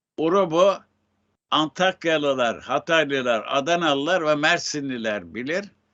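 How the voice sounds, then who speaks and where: With ordinary movement in pitch, the talker goes very slowly. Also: man. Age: 80s+. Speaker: writer. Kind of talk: interview.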